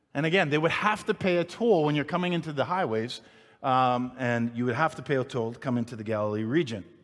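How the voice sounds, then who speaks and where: Over noticeable background noise, a man talks at a very fast pace in a medium pitch with lively intonation. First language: not English. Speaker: pastor. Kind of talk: sermon. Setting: church with congregation. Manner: stuttering at times.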